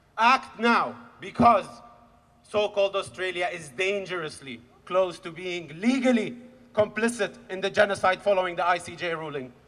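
A high-pitched man speaks with an Arabic accent at a moderate pace and ordinary pitch variation. His loudness swings widely, over noticeable background noise. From Khan Younis, Gaza, Palestine. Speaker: activist. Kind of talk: rally speech. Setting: outdoor rally with crowd.

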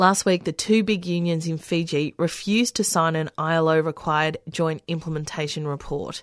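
A woman with a fairly low pitch uses a normal speaking voice at a moderate pace with hardly any pauses and ordinary pitch variation, the sound dry and close with no echo against a quiet background. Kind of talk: formal radio newsreading of labour stories. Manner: measured, steady newsreader delivery.

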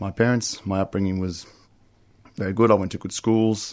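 In an Australian accent, a man talks with a very deep, low pitch and fairly even intonation. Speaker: recovering gambler, GA member. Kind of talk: testimony. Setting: radio studio.

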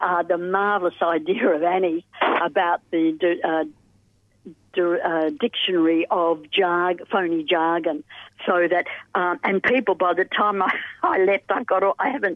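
At a fairly slow pace, this is a normal speaking voice. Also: woman. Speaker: pensioner advocate. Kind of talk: radio interview. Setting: phone call.

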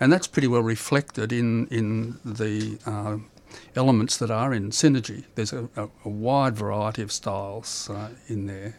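A man speaks with an Australian accent at a medium pitch. His pace is moderate and his intonation fairly even. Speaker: amateur painter. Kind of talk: interview. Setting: studio. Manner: halting.

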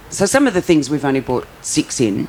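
A woman with a low pitch talks at a fairly quick pace with big pitch swings.

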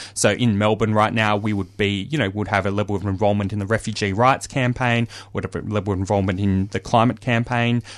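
With an Australian accent, a man speaks at a fairly quick pace. His pitch is fairly low and his intonation fairly even. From Australia, Victoria. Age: 30s. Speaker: socialist activist. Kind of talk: interview. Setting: studio. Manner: halting, many fillers.

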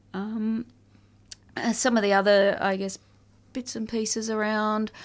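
The speaker has an Australian accent and fairly even intonation. The recording is very clean, with a silent background. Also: woman. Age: 40s. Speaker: family violence survivor advocate. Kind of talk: interview.

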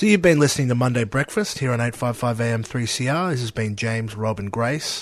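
With an Australian accent, a man speaks at a medium pitch and a moderate pace, using ordinary pitch variation and hardly any pauses. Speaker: radio host. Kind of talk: casual radio chat. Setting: studio.

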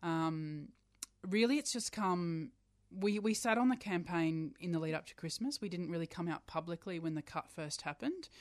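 In a plain, everyday voice, a woman talks at a moderate pace with a fairly low pitch and lively intonation against a quiet background. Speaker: LGBTI charity chief executive. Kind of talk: radio interview. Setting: radio studio. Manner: earnest, indignant.

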